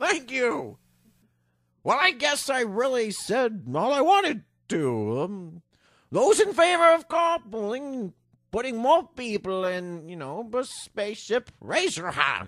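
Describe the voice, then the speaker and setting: In a put-on character voice, the speaker moves at a fairly slow pace with very wide pitch swings, on a very clean recording with a silent background. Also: man, extremely high pitch for a man. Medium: audio drama. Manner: hesitant, bureaucratic.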